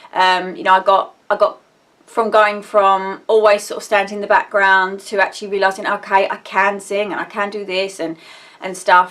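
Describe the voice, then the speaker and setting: A woman's bright, sharp voice in an Essex accent, medium in pitch, at a moderate pace, with monotone, flat intonation and big swings in loudness. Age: 30s. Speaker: vlogger. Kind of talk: casual personal vlog. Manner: rambling, halting with fillers.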